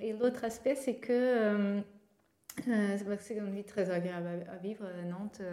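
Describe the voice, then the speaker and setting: A woman talks at a very slow pace, her intonation fairly even. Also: medium pitch for a woman. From Portugal. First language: Portuguese (speaking French). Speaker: startup co-founder. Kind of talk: interview. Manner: halting, with repetitions.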